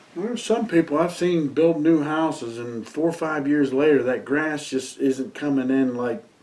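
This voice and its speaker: A man speaks at a fairly high pitch and a moderate pace, with hardly any pauses. His pitch variation is ordinary, and background noise is noticeable. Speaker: interviewer. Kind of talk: interview. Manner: casual.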